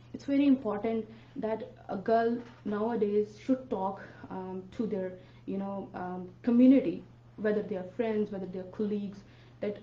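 A woman at a moderate pace, ordinary pitch variation, and audible room echo. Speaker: radio guest. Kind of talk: interview answer. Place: studio.

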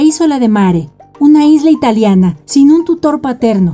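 A woman speaks at a moderate pace with very wide pitch swings. Music plays in the background. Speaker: narrator. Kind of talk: entertainment video narration.

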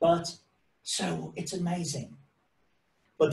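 A man in an English accent, with audible room echo. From England, of Irish parents. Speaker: science presenter; presenter. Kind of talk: lecture. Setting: video call. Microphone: video call.

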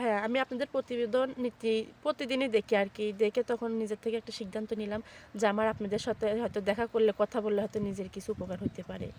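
An ordinary speaking voice, a woman's at fairly high pitch, comes through dry and close with no echo, her intonation fairly even. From Bangladesh, Sirajganj. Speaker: woman seeking a marriage match. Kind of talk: interview testimony.

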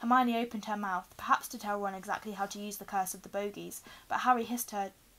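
Someone reads with fairly even intonation in an unforced reading voice.

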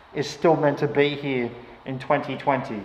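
A man speaks at a moderate pace. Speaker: urban exploring vlogger. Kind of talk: casual vlog chat. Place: empty room. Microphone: phone near.

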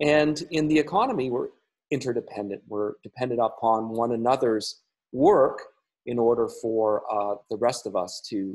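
The background stays quiet. A man talks, his pitch varying in an ordinary way. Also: moderate pace. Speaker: church minister. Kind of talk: informal pastoral talk. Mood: calm, friendly. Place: home room. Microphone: webcam.

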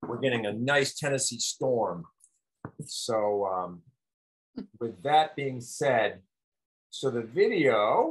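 Against a quiet background, a man speaks at a very slow pace with long, frequent pauses and lively intonation. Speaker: health educator. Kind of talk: commentary. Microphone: webcam.

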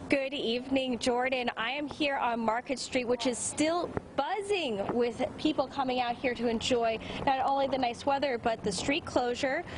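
The pitch rises and falls in an ordinary way, with noticeable noise in the background. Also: woman, high pitch for a woman, moderate pace. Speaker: news reporter. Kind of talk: live news report. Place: street. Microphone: handheld.

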